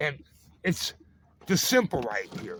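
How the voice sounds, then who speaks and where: With an American accent and a raised, projected voice, a man speaks at a moderate pace and high pitch, using lively intonation and a bright, sharp tone. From Chicago, US. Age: 70s. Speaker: vlogger. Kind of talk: casual vlog monologue. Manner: rambling, halting.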